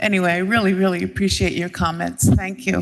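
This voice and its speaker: A woman talks over noticeable background noise. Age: 70s. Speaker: state legislator. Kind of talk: farewell announcement. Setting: legislative chamber. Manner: halting.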